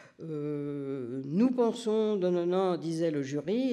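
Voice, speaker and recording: His pitch is high for a man and his tone dark and mellow, and the man's intonation is lively. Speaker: nursing research professor, doctoral supervisor. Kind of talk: conference talk. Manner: hesitant, many fillers.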